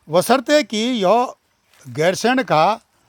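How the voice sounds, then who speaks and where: A man speaks with ordinary pitch variation. The sound is dry and close with no echo, on a very clean recording with a silent background. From Uttarakhand, Gairsain area. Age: 70s. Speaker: local activist video blogger. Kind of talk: on-location vlog commentary. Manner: hesitant, many filler sounds.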